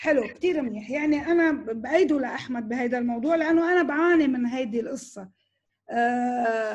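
Against a quiet background, a woman speaks at a moderate pace in a high pitch with ordinary pitch variation. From Lebanon, Tripoli; Lebanon. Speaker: news director and journalist; news director, journalist. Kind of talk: online talk with Q&A. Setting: video call. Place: home room. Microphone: video call.

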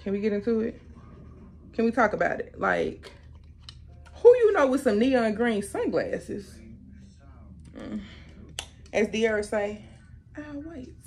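Big swings in loudness and long, frequent pauses come through as a woman speaks at a fairly slow pace over faint music in the background. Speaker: youtuber. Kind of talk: haul video. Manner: animated. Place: home room. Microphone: camera far.

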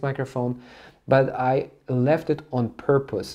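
A man's voice carries a dark, mellow tone. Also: quiet background. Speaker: gear reviewer. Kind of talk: product review tutorial. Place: studio.

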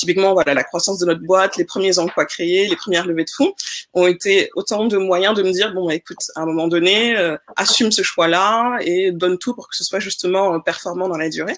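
A woman with a plain, everyday voice at medium pitch speaks at a fairly quick pace with fairly even intonation over a quiet background. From Senegal. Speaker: investor and entrepreneur; panelist. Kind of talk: panel discussion. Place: home room.

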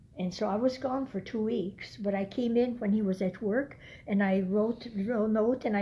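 A woman's somewhat breathy voice, dark and mellow in tone, with fairly even intonation. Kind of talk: casual storytelling to a relative. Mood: reflective, somber memories. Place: home room. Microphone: phone near.

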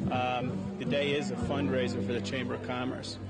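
Music plays in the background as a man speaks at a moderate pace. The sound is dry with no echo. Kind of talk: interview answer. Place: garden. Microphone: handheld.

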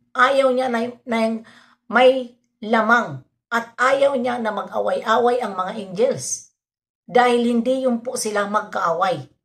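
A woman's fairly high voice at a very slow pace, with fairly even intonation and a quiet background. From Philippines. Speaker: reaction vlogger. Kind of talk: vlog commentary. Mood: opinionated, defending. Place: home room. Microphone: phone near.

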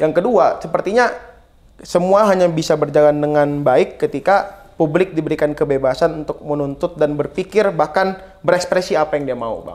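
A man talks at a fairly quick pace. His fairly high pitch shows ordinary variation. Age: 20s. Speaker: former student union leader; guest. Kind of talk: talk show interview. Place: studio. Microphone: lapel.

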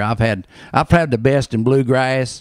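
A man with a North Carolina accent at a moderate pace, dry with no echo, against a quiet background. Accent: Southern US, North Carolina. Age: 60s. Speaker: barber, bluegrass concert promoter. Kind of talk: interview answer. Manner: casual, hesitant. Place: shop. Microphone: handheld.

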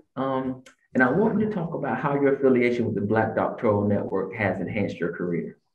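At a very fast pace, a man of medium pitch swings very widely in pitch, with audible room echo around him. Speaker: podcast host. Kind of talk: interview. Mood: warm, grateful. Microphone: video call.

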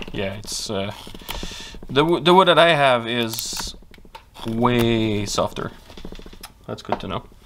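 Amid noticeable background noise, a man talks very slowly at a medium pitch. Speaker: woodcarving youtuber. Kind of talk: tutorial. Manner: casual, with frequent fillers.

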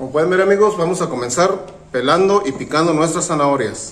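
A man talking fairly quickly with ordinary pitch variation over loud background noise. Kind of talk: tutorial. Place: kitchen.

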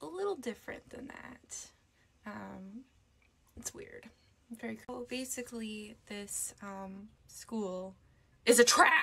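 Speaking at a very slow pace with long, frequent pauses, a woman is heard over light background noise. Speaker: beauty vlogger. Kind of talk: casual vlog chat and makeup tutorial. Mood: nervous, hesitant, many fillers. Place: home room. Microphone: phone near.

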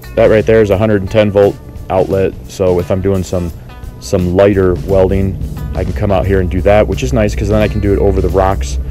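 A man talks at a fairly quick pace in a very deep, low voice. The sound is dry with no echo, and faint music plays in the background. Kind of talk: casual tour narration. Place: garden. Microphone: phone near.

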